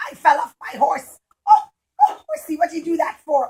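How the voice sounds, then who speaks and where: A woman does a cartoonish character voice at an extremely high pitch, keeping a moderate pace. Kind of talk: puppet show storytelling for young children. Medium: puppet. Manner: exclaiming, flustered.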